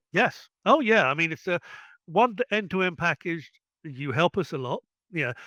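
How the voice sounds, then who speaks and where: Speaking with an English accent, a man with a high pitch and a bright, sharp tone keeps a moderate pace and lively intonation, the sound dry and close with no echo over a quiet background. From England. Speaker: ex-military tech worker and online store owner. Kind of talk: interview.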